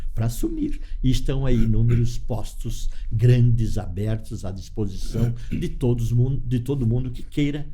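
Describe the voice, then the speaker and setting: Audible room echo surrounds a man's voice. He speaks at a fairly slow pace. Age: 70s. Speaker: cooperative leader. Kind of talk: interview. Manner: halting.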